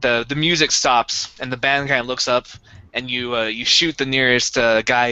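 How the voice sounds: The clip has a natural reading voice. Its intonation is fairly even.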